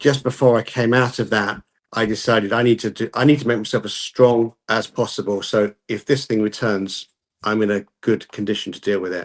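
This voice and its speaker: Spoken at a fairly quick pace with a British accent, the voice keeps a fairly even intonation, with dry, close sound with no echo over a quiet background. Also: man, medium pitch for a man. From UK. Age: 60s. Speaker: calisthenics YouTuber. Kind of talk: podcast interview.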